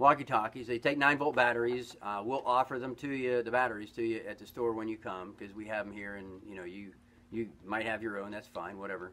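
A man speaks fairly quickly. His volume rises and falls in big swings. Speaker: store owner or shop promoter. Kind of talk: sales pitch. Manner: friendly, folksy and upbeat, chatty with filler words; rambling, conversational pitch with a direct call to action. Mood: friendly, upbeat. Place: shop. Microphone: camera far.

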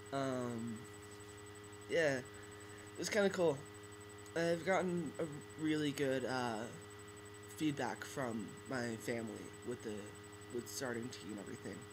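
Over noticeable background noise, a man speaks at a fairly slow pace with lively intonation and long, frequent pauses. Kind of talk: casual talk to camera. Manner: hesitant, many fillers. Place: home room. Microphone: webcam.

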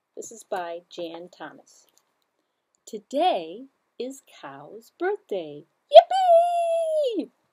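A woman talks at a very slow pace with big swings in loudness over a quiet background. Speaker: library story time host. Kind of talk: children's story time reading. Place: studio.

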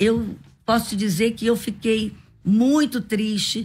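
Somewhat breathy, a woman speaks very slowly at a fairly high pitch. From Brazil, Rio de Janeiro (from age 4). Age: 60s. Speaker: pastor and women's leader; pastor. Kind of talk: radio interview. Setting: radio studio. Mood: earnest, emotional storytelling. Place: studio. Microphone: studio mic.

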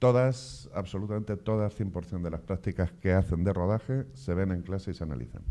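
A man's very deep, low voice, dark and mellow in tone, with lively intonation at a moderate pace. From Castilla-La Mancha, Spain. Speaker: film director and course coordinator. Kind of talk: information session interview. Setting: in front of camera with live and online audience. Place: studio. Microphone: handheld.

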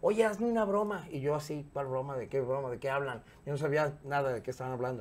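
Talking at a very fast pace, a man with a Mexican accent uses lively intonation. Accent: Mexican Spanish (Jalisco). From Mexico, Guadalajara; Jalisco, Mexico. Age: 50s. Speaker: radio and TV presenter; interview guest, radio host. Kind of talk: casual interview chat; interview answer. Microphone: lapel.

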